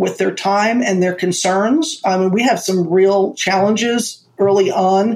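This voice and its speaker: A woman's normal speaking voice, medium in pitch, at a fairly slow pace with ordinary pitch variation. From Florida, US (born in Manhattan). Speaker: entrepreneur and marketing strategist. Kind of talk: interview conversation.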